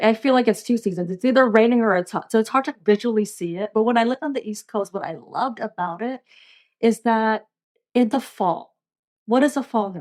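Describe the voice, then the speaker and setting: An ordinary speaking voice moves at a fairly quick pace, with big swings in loudness. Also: woman. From US, moved from the Philippines at four. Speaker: leadership coach and advocate. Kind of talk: podcast interview.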